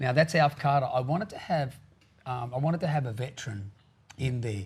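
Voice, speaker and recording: A man with an Australian accent talks at a fairly quick pace, somewhat breathy, with ordinary pitch variation. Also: medium pitch for a man. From Australia, New South Wales south coast. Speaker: country singer-songwriter. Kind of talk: interview.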